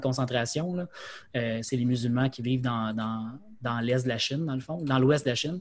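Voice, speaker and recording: A man with an unremarkable speaking voice at a medium pitch and moderate pace, his intonation fairly even. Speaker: podcast co-host. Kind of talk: casual chat.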